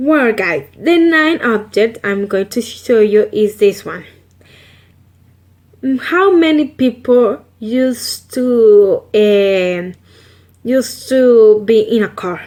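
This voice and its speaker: A woman with a Salvadoran accent speaks at a very slow pace. Her fairly high voice has lively intonation. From El Salvador. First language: Spanish. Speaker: vlogger. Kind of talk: casual vlog. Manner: halting with fillers.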